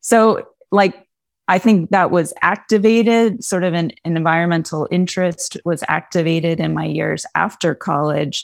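This is an unremarkable speaking voice with an American accent. The pace is moderate, with ordinary pitch variation. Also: woman, fairly low pitch for a woman. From Pennsylvania, Poconos. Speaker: English professor. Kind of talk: interview.

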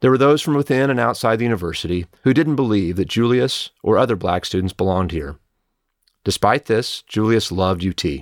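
A man's plain, everyday voice with an American accent, fairly low in pitch, lively in intonation and fairly quick, on a very clean recording with a silent background and a dry, close sound with no echo. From Oklahoma. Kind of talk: scripted address.

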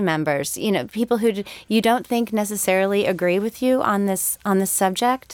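A woman with an American accent, medium pitch, and an ordinary speaking voice at a fairly slow pace. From Connecticut, US Northeast. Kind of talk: podcast interview discussion.

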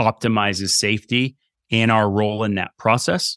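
Dry and close with no echo, a man with an American accent speaks at a fairly low pitch and moderate pace in a flat monotone. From Vermont, US. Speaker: strength and conditioning coach. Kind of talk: interview. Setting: video call.

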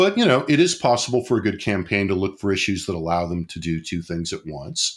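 A normal speaking voice from a man, fairly low-pitched and fairly quick, with lively intonation and hardly any pauses, on a very clean recording with a silent background. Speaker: political scientist and podcast host. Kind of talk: casual analytical discussion. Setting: studio.

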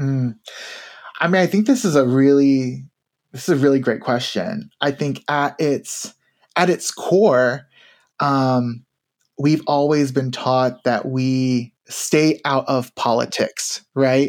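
In an American accent, the speech goes very slowly on a very clean recording with a silent background. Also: man, fairly high pitch for a man, ordinary pitch variation. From Tennessee, US South. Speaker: university diversity administrator. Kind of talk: interview conversation. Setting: studio. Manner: halting.

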